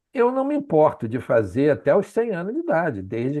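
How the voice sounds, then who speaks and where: At a moderate pace and in a dark, mellow tone, a man talks over a quiet background. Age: 70s. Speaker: physician audience member asking a question. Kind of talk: audience question at a lecture.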